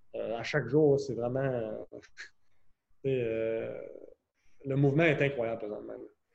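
A man at a very slow pace in a medium pitch, with fairly even intonation and long, frequent pauses. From Quebec City, Quebec. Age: 20s. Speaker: professional hockey player. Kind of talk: casual interview.

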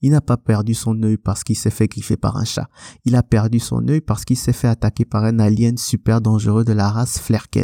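At a fairly quick pace, a dark, mellow voice comes through a dry, close sound with no echo in a very clean recording with a silent background. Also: man. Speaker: podcast host, film reviewer. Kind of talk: film review monologue. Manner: animated, enthusiastic.

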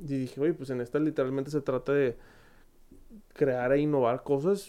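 Someone talks fairly quickly in a Monterrey accent against a quiet background. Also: man. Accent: Monterrey (regio). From Monterrey, Mexico. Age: 20s. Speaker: podcast host. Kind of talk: casual Q&A monologue.

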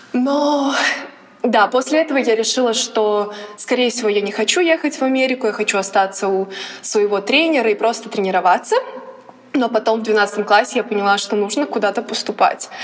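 A woman's fairly high voice at a moderate pace, with ordinary pitch variation and long, frequent pauses, over noticeable background noise. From Latvia, Riga. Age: 20s. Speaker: college athlete. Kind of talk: casual chat.

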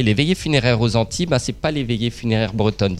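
A man talks in a plain, everyday voice, pitched medium and varying in an ordinary way. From Brittany, north Finistère. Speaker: comedian and stage actor. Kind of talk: interview.

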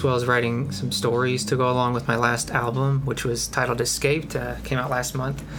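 Music plays in the background and the room gives an audible echo. A man speaks at a medium pitch and a fairly quick pace. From Kentucky. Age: 20s. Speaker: music producer. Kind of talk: interview. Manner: halting, many fillers.

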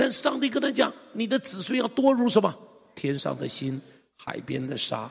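A man talks at a moderate pace. His pitch swings very widely. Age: 60s. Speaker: pastor. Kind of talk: sermon. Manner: animated.

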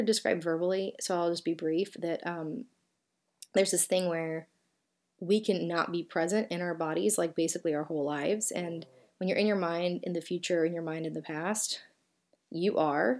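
Over a very clean, silent background, a woman talks in a Southern US accent. Her pitch is fairly low, with ordinary variation and a moderate pace. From US South. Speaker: podcast host and author. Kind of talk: solo podcast talk. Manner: casual, conversational.

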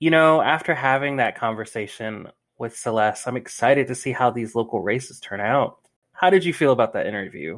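In a very clean recording with a silent background, a man with an American accent speaks fairly quickly at a medium pitch, using an ordinary speaking voice with lively intonation. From Greensboro, North Carolina. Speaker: podcast host. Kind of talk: casual chat. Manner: casual.

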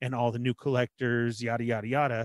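A man with a plain, everyday voice at medium pitch, fairly quick pace, very clean recording with a silent background, and a dry, close sound with no echo. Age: 40s. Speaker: toy collecting podcast co-host. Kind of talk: casual chat.

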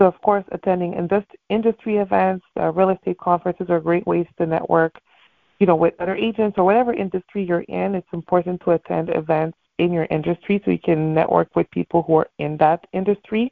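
A woman with a plain, everyday voice speaks at a fairly quick pace, her fairly low pitch held in fairly even intonation. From Montreal, Canada. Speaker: real estate agent. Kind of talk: motivational talk. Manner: casual, frequent fillers.

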